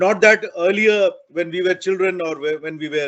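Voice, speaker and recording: This man's high-pitched voice moves at a moderate pace. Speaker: university professor. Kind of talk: speech at virtual celebration. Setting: video call. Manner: halting, many fillers.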